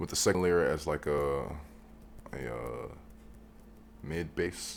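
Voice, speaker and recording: Soft-spoken, a man with a very deep, low pitch talks very slowly with ordinary pitch variation. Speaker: music producer. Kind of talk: tutorial. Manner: halting.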